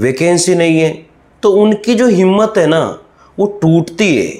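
A man's voice at a fairly high pitch and a fairly slow pace. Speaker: online exam-prep teacher. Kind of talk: motivational talk to students.

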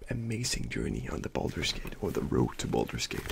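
Over light background noise, a soft-spoken man talks at a moderate pace. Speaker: ASMR creator. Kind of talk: ASMR soft-spoken talk between mouth sounds. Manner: casual, rambling chat. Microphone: studio mic.

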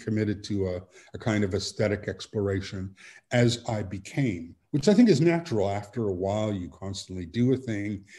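A dark, mellow tone, somewhat breathy, at a moderate pace with ordinary pitch variation. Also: man. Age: 60s. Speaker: author; guest. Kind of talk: interview. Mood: thoughtful, measured. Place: home room. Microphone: video call.

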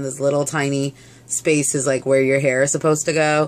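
A woman is talking. Her pace is fairly quick. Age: 30s. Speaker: beauty vlogger. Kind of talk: casual product review vlog. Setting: home video recording. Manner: casual with many filler words. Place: home room.

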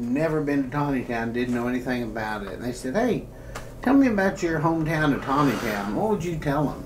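With audible room echo, a man talks at a fairly quick pace and makes big swings in pitch.

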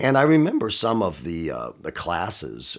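Speech comes at a moderate pace. Behind it, all is quiet. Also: man. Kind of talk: interview answer. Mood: warm, amused nostalgia. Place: studio.

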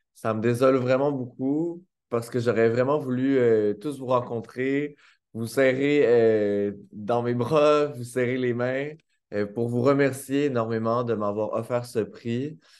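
Speaking very slowly, a man with a Quebec accent keeps a medium pitch and fairly even intonation. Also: quiet background. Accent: Québécois French. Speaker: author. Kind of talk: acceptance speech. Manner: hesitant, many fillers. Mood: warm, grateful, smiling. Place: home room. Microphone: webcam.

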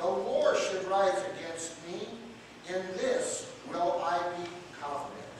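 Strong room echo and light background noise fill the recording as a man speaks at a very slow pace with long, frequent pauses. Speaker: pastor. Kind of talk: scripture reading. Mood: devout, emotional interjections. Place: church. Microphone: camera far.

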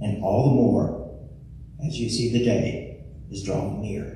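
Strong room echo surrounds a man speaking fairly slowly with ordinary pitch variation. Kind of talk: church welcome and scripture reading. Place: church.

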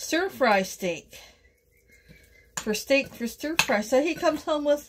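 A woman's fairly slow, lively-sounding speech amid noticeable background noise. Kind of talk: casual cooking vlog chat. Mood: amused, chatty. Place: kitchen. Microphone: phone near.

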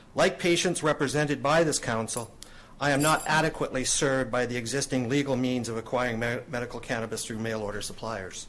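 A man's medium-pitched voice at a very fast pace, with ordinary pitch variation and audible room echo. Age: 60s. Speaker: cannabis advocate. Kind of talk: public hearing presentation. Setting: council chambers. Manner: formal.

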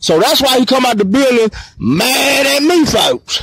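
A man at an extremely high pitch, lively intonation and a moderate pace, with noticeable background noise. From Mississippi. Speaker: vlogger. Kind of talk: street vlog monologue. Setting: outdoors at a bus station. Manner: agitated.

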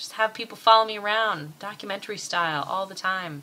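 Light background noise is present. The woman talks at a moderate pace. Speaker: vlogger. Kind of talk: casual vlog chat. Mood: wry, laughing. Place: home room. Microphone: webcam.

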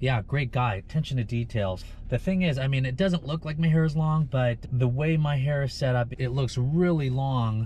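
With ordinary pitch variation, a man speaks at a medium pitch. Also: moderate pace.

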